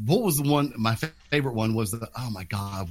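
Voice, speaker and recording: A man speaks at a moderate pace. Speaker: podcast co-host. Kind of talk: casual chat. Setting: video call. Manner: loud.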